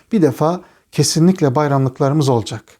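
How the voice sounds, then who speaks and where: A man speaks with a dark, mellow tone. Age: 40s. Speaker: religious teacher. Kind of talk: religious talk answering interview questions.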